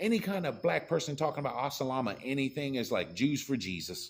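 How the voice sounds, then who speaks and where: Very wide pitch swings mark a moderate-paced voice with an American accent, recorded very cleanly against a silent background. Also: man. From rural US. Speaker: political commentator. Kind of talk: political rant. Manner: animated.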